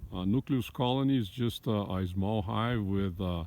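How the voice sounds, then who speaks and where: Here a man talks with a Brazilian accent at a moderate pace. His pitch is very deep and low, with ordinary variation. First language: Portuguese. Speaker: hobby beekeeper. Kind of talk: casual video tour. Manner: halting, many fillers.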